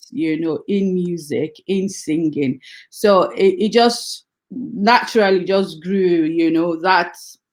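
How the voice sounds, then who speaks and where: A woman at medium pitch, very slow in pace, with ordinary pitch variation. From Nigeria, Delta State (Warri). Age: 40s. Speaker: gospel singer. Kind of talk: interview.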